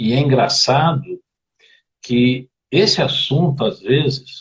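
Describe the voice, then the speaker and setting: A man speaks in a medium pitch, his voice somewhat breathy. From Brazil, Rio de Janeiro (Campo Grande). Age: 60s. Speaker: therapist guest on a live stream. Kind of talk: live stream conversation about family. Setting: online live video stream.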